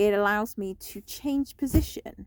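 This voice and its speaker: In a British accent, a woman talks in a relaxed tone at a fairly high pitch, with a very clean, silent background and a dry, close sound with no echo. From UK. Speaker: vlogger. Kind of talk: casual vlog talk. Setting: in a parked van in a car park. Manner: relaxed, lying down.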